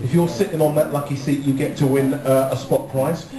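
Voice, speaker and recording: A man with a British accent talks fairly quickly in a fairly high pitch. Music plays in the background, and the room echo is audible. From England. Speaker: audience warm-up comedian. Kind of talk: cheeky crowd-work warm-up patter riffing with a live studio audience. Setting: TV studio with live audience. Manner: playful, flirty and teasing; energetic, rallying crowd to cheer. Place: studio. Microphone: pa.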